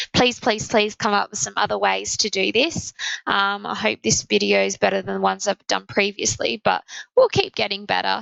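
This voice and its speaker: A woman with an Australian accent speaks at a moderate pace in a very deep, low voice. Her pitch swings very widely. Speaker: maths teacher. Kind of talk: tutorial. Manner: halting.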